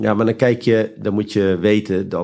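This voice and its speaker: The very clean recording has a silent background. A man speaks at a fairly low pitch with fairly even intonation. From Friesland, Netherlands. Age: 50s. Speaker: entrepreneur. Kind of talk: interview. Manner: halting.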